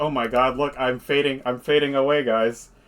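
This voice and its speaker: A man uses a put-on character voice at medium pitch. He keeps a moderate pace with monotone, flat intonation. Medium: actual play. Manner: sneering.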